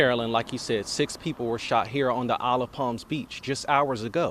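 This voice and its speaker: Moving at a moderate pace, a man with an unremarkable speaking voice speaks at medium pitch. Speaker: TV news reporter and anchor. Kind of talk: TV news field report.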